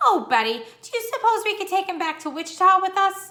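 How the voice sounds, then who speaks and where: Putting on a squeaky character voice, a woman speaks at an extremely high pitch and a fairly quick pace, with very wide pitch swings and big swings in loudness. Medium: read story.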